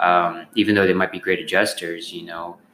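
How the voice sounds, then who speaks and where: Against noticeable background noise, a man with a very deep, low pitch speaks at a fairly quick pace. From Texas (born in South Africa, moved to US at six). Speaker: chiropractor. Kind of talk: casual interview.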